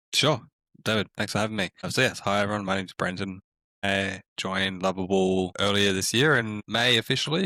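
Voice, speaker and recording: A man's very deep, low voice with an Australian accent, bright and sharp in tone, at a fairly quick pace with fairly even intonation, dry and close with no echo on a very clean recording over a silent background. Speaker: community manager at a tech startup. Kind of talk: podcast interview.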